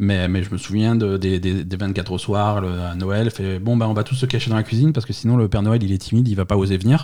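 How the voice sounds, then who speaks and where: Delivered at a very fast pace with hardly any pauses, the voice has a dark, mellow tone and fairly even intonation. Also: man, fairly low pitch for a man. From France, Alsace. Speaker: podcast guest. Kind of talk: casual chat. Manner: halting, many repetitions.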